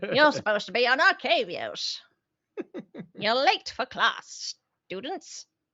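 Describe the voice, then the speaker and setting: A put-on character voice, female-sounding and high in pitch for a woman, moves at a fairly slow pace with long, frequent pauses. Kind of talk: teacherly. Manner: scolding, playful.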